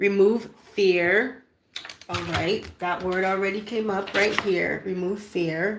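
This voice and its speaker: In a plain, everyday voice, a woman speaks at a medium pitch and a fairly slow pace with ordinary pitch variation. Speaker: spiritual card reader. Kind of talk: oracle card reading.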